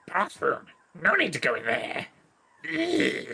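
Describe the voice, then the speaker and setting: In a put-on character voice, a man speaks at a fairly slow pace. The voice is raspy. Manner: disgusted.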